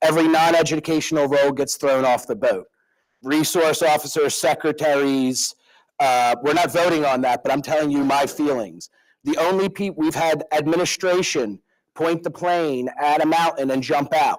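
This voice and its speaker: In a very clean recording with a silent background, a man with a Philadelphia accent speaks at a moderate pace and very even loudness, fairly high in pitch with fairly even intonation. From Philadelphia, US. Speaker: school board member. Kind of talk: public meeting remarks. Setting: board meeting room with microphone. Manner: halting.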